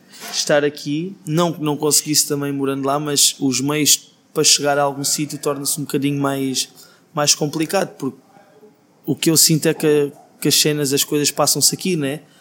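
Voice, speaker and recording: A man talks at a moderate pace with a fairly high pitch and monotone, flat intonation. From Portugal, Alentejo (Beja). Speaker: singer-songwriter. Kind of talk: interview.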